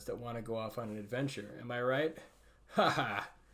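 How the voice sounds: The delivery is a natural reading voice.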